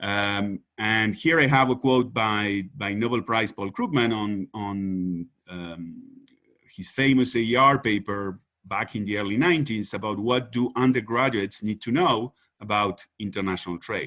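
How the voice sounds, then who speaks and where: A man with a Spanish accent, fairly low pitch, ordinary pitch variation, and a fairly slow pace. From Uruguay. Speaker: economist. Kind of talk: conference presentation. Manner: halting, many fillers and repetitions.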